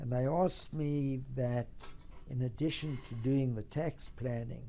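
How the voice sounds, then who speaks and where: Here is a man with a dark, mellow tone at medium pitch. He speaks fairly slowly with fairly even intonation. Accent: South African. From South Africa. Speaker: tax lawyer and trust company founder. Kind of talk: company history talk. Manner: formal.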